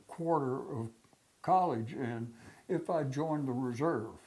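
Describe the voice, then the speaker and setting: A man speaks with a fairly high pitch and ordinary pitch variation. His tone is dark and mellow. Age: 90s. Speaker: war veteran. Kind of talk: oral history interview. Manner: halting, many fillers.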